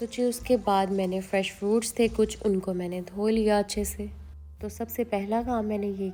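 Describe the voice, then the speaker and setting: A woman's dark, mellow tone at a fairly slow pace, in a monotone, flat intonation. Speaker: cooking vlogger. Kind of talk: vlog voice-over narration. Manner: warm and chatty.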